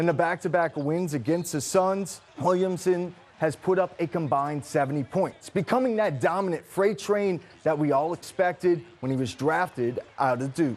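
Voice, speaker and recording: A high-pitched man at a moderate pace, with ordinary pitch variation over noticeable background noise. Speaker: sports anchor and reporter. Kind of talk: TV sportscast anchor delivery.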